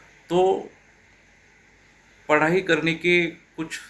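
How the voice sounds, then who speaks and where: A high-pitched man with a Marathi accent talks in a monotone, flat intonation. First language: Marathi (speaking Hindi). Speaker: teacher. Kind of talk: motivational talk.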